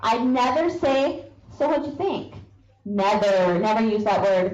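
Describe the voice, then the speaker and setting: A woman speaks with lively intonation amid audible room echo and noticeable background noise. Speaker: sales trainer. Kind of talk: training talk. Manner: animated.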